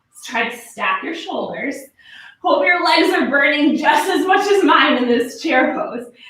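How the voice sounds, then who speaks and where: Speaking fairly slowly with lively intonation, a woman's high voice comes through with audible room echo. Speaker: yoga instructor. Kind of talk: guided yoga class. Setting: live online class. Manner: short rhythmic cues.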